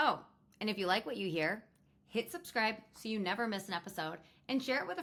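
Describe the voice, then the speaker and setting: Here a woman talks at a fairly quick pace. Her pitch sits fairly high and swings very widely. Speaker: podcast host. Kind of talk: casual podcast monologue. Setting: recording from her bed.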